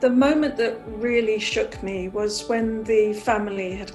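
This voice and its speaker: Music plays in the background as a woman at medium pitch speaks at a fairly slow pace. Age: 70s. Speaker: psoriasis patient. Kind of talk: personal testimonial.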